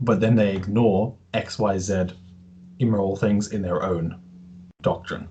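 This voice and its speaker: Somewhat breathy and dark, mellow in tone, a man talks in a fairly low pitch with a slight Australian accent. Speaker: podcast host, interviewer. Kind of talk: casual interview chat.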